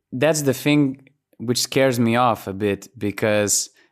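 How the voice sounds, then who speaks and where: A man talks at a moderate pace with a Lithuanian accent. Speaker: basketball journalist and podcast host. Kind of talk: casual chat. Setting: video call.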